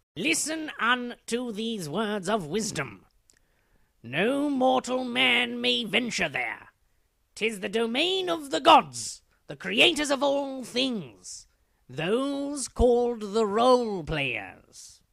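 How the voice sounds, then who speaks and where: A man uses a cartoonish character voice pitched extremely high, raised and projected. He goes very slowly, with lively intonation. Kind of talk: comic overacting. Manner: pompous, lecturing, archaic flourishes; fussy, scolding when hushing.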